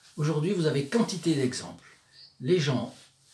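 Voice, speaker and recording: A man talks against noticeable background noise. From southern France, Provence. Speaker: religious video presenter. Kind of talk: religious commentary talk. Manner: hesitant, many filler sounds.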